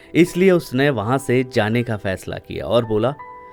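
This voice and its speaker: Music plays in the background behind a man's voice. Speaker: storyteller, former radio jockey. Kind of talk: emotional love story narration.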